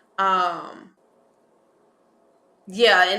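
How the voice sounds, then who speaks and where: The speaker has a Texas accent and ordinary pitch variation. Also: woman. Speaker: spiritual life coach. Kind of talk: interview conversation.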